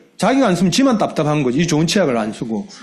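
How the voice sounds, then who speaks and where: A man with a Busan accent talks, with audible room echo. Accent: Gyeongsang dialect (Busan area). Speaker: network marketing business leader. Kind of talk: motivational business talk. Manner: colloquial, dialect-heavy.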